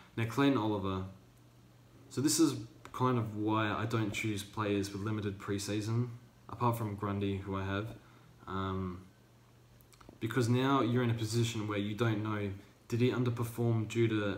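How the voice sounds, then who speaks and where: With audible room echo, a man with an Australian accent speaks in a fairly low, somewhat breathy voice, with fairly even intonation at a moderate pace and long, frequent pauses. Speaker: fantasy football youtuber. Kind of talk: casual commentary vlog. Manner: hesitant, many fillers.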